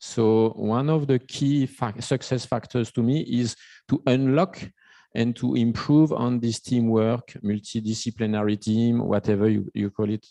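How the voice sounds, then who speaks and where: Against a quiet background in a dry, close recording with no echo, a man with a French accent speaks at a fairly slow pace and medium pitch, his dark, mellow tone following a fairly even intonation. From France. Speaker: invited panel expert. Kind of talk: panel discussion. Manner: halting, many restarts.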